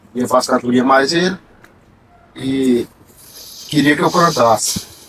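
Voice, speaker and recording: A man with a medium pitch and ordinary pitch variation speaks at a fairly slow pace, with noticeable background noise behind him. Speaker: repentista poet. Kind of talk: casual interview chat.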